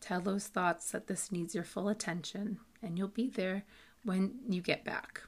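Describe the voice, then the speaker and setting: The speaker has a normal speaking voice and an American accent, with ordinary pitch variation. The recording is very clean with a silent background. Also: woman. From US Massachusetts. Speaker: podcast host and meditation guide. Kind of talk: guided meditation. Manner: calm, slow, soothing and instructive.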